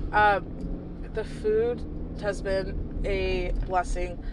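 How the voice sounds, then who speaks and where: Medium-pitched woman with an American accent and ordinary pitch variation, amid noticeable background noise and audible room echo. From US South. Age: 20s. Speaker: podcast host's sister. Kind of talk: casual chat. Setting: in a car.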